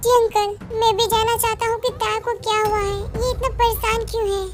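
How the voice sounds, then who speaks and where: A woman's squeaky put-on character voice at a fairly quick pace, with clear music in the background. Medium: read story. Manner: gentle, caring.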